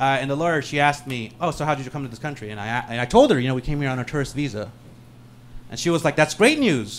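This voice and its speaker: A man with a Californian accent talks very fast in a fairly high pitch, his loudness swinging widely. The pitch varies in an ordinary way, and the recording is very clean with a silent background. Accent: Californian American. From San Francisco, US (Peruvian-born). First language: Spanish. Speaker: stand-up comedian. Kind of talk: stand-up.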